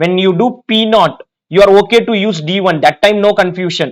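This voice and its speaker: A man with a high pitch speaks in an Indian accent at a moderate pace, with ordinary pitch variation. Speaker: finance exam teacher. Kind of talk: lecture.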